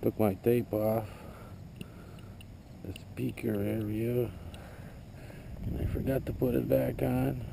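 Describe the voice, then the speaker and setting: A man mumbles at a very slow pace, his pitch swinging very widely. The room echo is audible and background noise is noticeable. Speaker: metal detecting hobbyist. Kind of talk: casual vlog narration. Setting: outdoors. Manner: mumbling.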